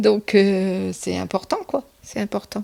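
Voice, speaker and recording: Recorded with a dry, close sound and no echo, a woman talks at a very slow pace. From northern France, Somme (Picardy). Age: 60s. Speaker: retired office worker, interviewee. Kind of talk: interview testimony. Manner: hesitant, many fillers.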